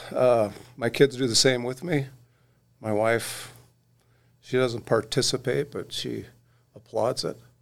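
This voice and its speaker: A man at a medium pitch with an American accent, vocal fry, fairly even intonation, a fairly slow pace and long, frequent pauses. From Oregon. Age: 60s. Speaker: magazine editor. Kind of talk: casual chat.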